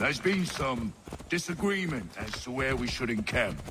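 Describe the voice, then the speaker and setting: A man puts on a raspy character voice at medium pitch, with very wide pitch swings and a moderate pace. Clear background noise sits behind him. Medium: video game. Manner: gruff, soldierly.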